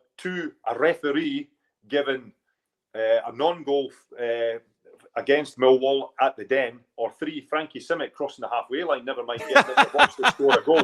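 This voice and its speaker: A man's fairly high voice in a Scottish accent at a moderate pace, with ordinary pitch variation and big swings in loudness. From Edinburgh, Scotland. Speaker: football manager and former player. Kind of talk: podcast interview answer. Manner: casual, storytelling.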